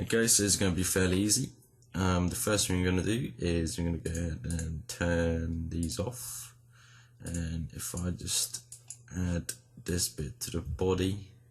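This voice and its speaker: A man talks at a fairly slow pace in a very deep, low voice that is somewhat breathy. His intonation is lively. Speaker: 3D modeling tutorial creator. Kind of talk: tutorial. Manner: casual with frequent um fillers.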